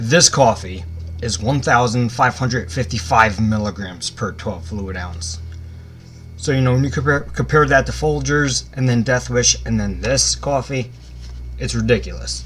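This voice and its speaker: Noticeable background noise sits behind a man with a very deep, low voice. He talks at a moderate pace with very wide pitch swings. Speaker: YouTuber product reviewer. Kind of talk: casual product review. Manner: casual, conversational.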